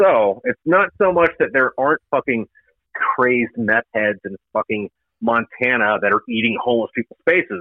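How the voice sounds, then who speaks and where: An ordinary speaking voice, this man talks at a moderate pace and medium pitch with an American accent and lively intonation. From Florida, Jacksonville. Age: 30s. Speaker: Marine veteran and author. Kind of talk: casual chat.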